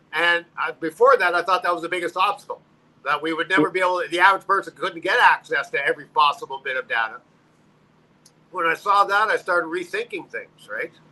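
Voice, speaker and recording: A man speaks at a very fast pace in a raised, projected voice with a bright, sharp tone. His pitch is high, with ordinary pitch variation. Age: 60s. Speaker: democracy activist. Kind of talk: casual discussion. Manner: halting.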